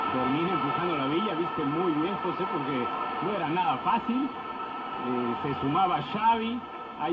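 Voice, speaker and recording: An animated, enthusiastic male voice with lively intonation at a moderate pace, against noticeable background noise. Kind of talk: live football commentary (co-commentator analysis). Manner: animated, fluent, enthusiastic praise.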